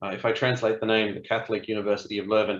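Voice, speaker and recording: The speaker is a man with an Australian accent. His pitch sits in the medium range. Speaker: cybersecurity product executive. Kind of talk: webinar presentation.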